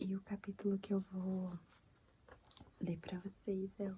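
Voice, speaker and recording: Soft-spoken and somewhat breathy, a woman with a medium pitch and a dark, mellow tone talks at a fairly slow pace. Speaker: ASMR creator. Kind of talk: casual chat.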